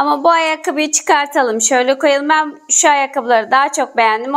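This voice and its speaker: Over a quiet background, a woman speaks at a moderate pace with a high pitch and ordinary pitch variation. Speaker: craft video host. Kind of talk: casual tutorial chat to viewers. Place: home room. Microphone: lapel.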